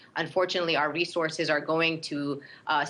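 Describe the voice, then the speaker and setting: A woman with a Brooklyn accent, a very deep, low pitch and a bright, sharp tone, fairly quick and monotone, flat in delivery. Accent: Brooklyn New York. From Brooklyn, New York. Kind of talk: interview.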